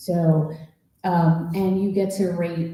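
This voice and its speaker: Speaking very slowly in a fairly low, flat monotone, a woman with an American accent has a dark, mellow tone, and the room echo is audible. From New Jersey. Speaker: school district forum facilitator. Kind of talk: public meeting announcements. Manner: loud.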